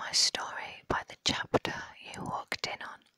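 A woman is whispering. Her pace is very slow. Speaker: ASMR creator. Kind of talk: ASMR whispering, reading quotes. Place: home room. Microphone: lapel.

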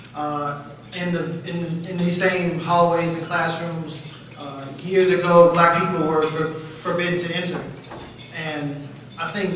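Long, frequent pauses break up a fairly slow delivery, with strong room echo and light background noise. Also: man. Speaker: event host. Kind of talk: formal welcome speech. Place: hall.

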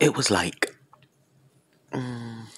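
This is a man. He is whispering. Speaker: asmr vlogger. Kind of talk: casual ASMR-style talk to camera showing a new headset. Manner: whispered, soft-spoken. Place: home room. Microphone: earbuds.

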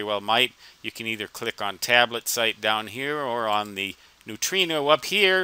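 A man's bright, sharp voice with ordinary pitch variation and a dry sound with no echo. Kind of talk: screen-recording walkthrough narration. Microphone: headset.

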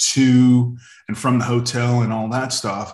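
There is audible room echo but a quiet background. A man with an American accent speaks at a medium pitch. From Northern California. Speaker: former BMX racer; podcast guest. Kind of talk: casual chat. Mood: relaxed, friendly. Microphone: video call.

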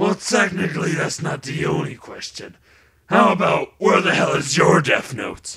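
His pitch is high. The man is doing a put-on character voice. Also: moderate pace. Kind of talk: comic overacting. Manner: childish, whiny, excitable.

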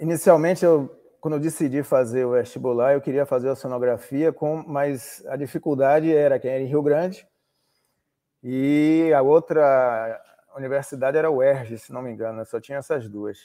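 A man's fairly high, dark and mellow voice at a moderate pace, with fairly even intonation, big swings in loudness and a quiet background. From Salvador, Bahia, Brazil; Bahia, Brazil. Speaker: oceanographer and maritime pilot; interview guest. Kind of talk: interview. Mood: relaxed, reminiscing. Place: home room. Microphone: video call.

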